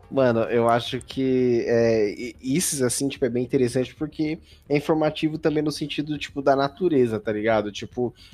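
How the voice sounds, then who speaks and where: Moderately paced, a man talks at a medium pitch with ordinary pitch variation, an unremarkable speaking voice. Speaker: podcast host. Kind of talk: casual chat.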